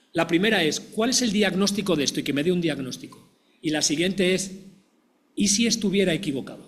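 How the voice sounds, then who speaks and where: High-pitched man speaking at a fairly quick pace with ordinary pitch variation. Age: 60s. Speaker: physician and professor. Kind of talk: panel discussion.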